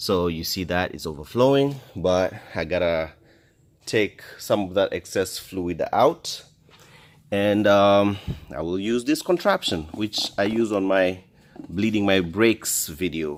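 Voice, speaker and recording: A man with a non-native accent talks at a very slow pace in a fairly low voice, with ordinary pitch variation and long, frequent pauses. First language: not English. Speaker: DIY car repair vlogger. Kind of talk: tutorial. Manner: halting.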